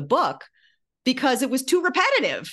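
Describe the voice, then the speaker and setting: A woman's fairly quick speech in an American accent, with vocal fry, against a quiet background. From US Midwest. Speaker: former TV writer and memoirist. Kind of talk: interview.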